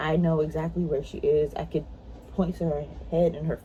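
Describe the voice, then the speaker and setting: A woman talking at a moderate pace. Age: 20s. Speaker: mother. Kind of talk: casual talk to camera.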